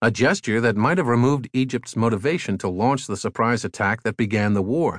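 With a plain, everyday voice, a man talks at a fairly quick pace with lively intonation, in a dry, close sound with no echo and a quiet background. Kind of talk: audiobook narration of a magazine essay. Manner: formal, even and measured, clear scholarly delivery.

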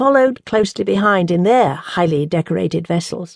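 With an unremarkable speaking voice, a woman talks at a medium pitch and a fairly quick pace, her intonation lively. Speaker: audiobook narrator. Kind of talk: audiobook narration. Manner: measured, formal, storytelling cadence.

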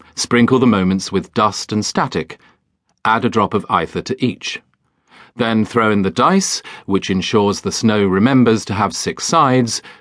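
A man at medium pitch with a British accent. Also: ordinary pitch variation, dry, close sound with no echo, quiet background. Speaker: audiobook narrator. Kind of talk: dramatic audiobook narration of a children's fantasy story, reading aloud. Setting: studio. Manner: hushed, storytelling tone with spooky, wintry atmosphere, slow deliberate pacing.

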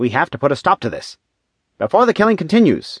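Using a put-on character voice, a man races along at a fast pace with very wide pitch swings and a slightly husky edge, recorded very cleanly against a silent background. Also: fairly high pitch for a man, dry, close sound with no echo.

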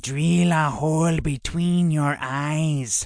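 Delivered very slowly in a put-on character voice, the middle-pitched speech comes with hissing. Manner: mimicking its master.

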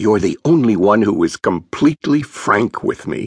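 A man puts on a raspy character voice at a medium pitch and moderate pace. The sound is dry and close, with no echo. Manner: serious, warm, kind.

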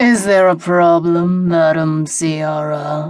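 A put-on character voice, raspy and growling at a middle pitch. The pace is very slow. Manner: snarling.

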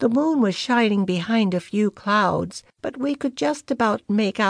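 Natural-voiced reading out loud.

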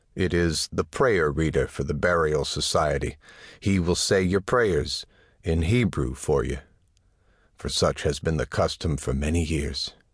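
Over a quiet background, a man with a very deep, low pitch speaks fairly slowly in a solemn, dramatic tone with vocal fry and ordinary pitch variation. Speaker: audiobook narrator. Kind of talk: scripted dramatic narration, second-person, solemn and atmospheric. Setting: studio. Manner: slow, measured, solemn and hushed, building to a dramatic, pleading tone.

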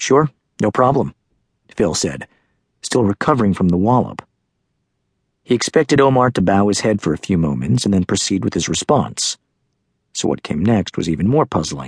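With a dry, close sound and no echo, a man speaks in a dramatic tone at a fairly low pitch with vocal fry, very wide pitch swings, a moderate pace and long, frequent pauses. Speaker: audiobook narrator. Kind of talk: dramatic audiobook narration, scripted, reading a spy story. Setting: studio. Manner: suspenseful, measured pacing with rising tension; expressive, storytelling delivery with dramatic pauses.

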